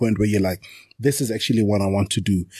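Against a quiet background, the voice sounds somewhat breathy, with a dark, mellow tone. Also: man. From South Africa. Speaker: township entrepreneur and podcaster. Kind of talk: casual interview chat.

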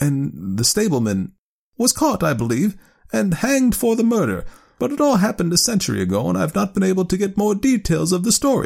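A man puts on a character voice with a high pitch, very wide pitch swings, and a fairly quick pace. His slightly mellow tone carries vocal fry on a very clean recording with a silent background.

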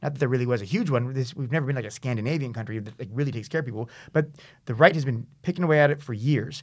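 A man with a Californian accent at a medium pitch and a very fast pace, on a very clean recording with a silent background. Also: ordinary pitch variation. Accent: Californian American English. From US West Coast, San Diego. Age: 30s. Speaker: writer and website founder. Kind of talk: casual interview. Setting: studio.

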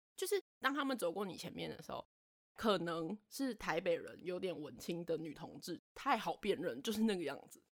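A woman with a Taiwanese accent, medium in pitch, at a moderate pace, with very wide pitch swings. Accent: Taiwanese Mandarin. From Taiwan, Taipei. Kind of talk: casual chat.

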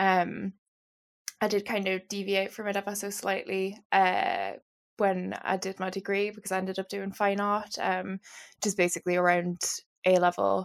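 This woman speaks with a Geordie accent at a moderate pace. Her intonation is monotone and flat. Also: medium pitch for a woman, very clean recording, silent background. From northern England, Newcastle. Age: 20s. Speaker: novelist. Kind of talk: interview.

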